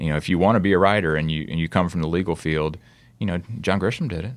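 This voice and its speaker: A man with a Mississippi accent speaks at a very deep, low pitch with ordinary pitch variation on a very clean recording with a silent background. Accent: Southern US (Mississippi). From US South, Oxford, Mississippi. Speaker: author and photographer. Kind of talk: interview. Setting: studio in Chicago.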